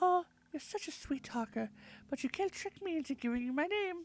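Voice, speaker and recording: Squeaky and extremely high in pitch, a woman's put-on character voice moves at a fairly quick pace. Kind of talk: fairytale princess voice. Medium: game stream.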